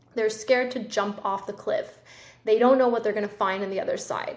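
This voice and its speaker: A woman speaks at a fairly high pitch with ordinary pitch variation. Room echo is audible. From Colombia. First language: Spanish. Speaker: podcast host. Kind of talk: solo podcast monologue. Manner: casual, conversational.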